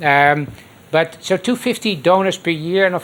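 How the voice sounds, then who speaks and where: With a Dutch accent, a man talks at a fairly high pitch using ordinary pitch variation. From Netherlands, Rotterdam. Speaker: transplant surgeon. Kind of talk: lecture.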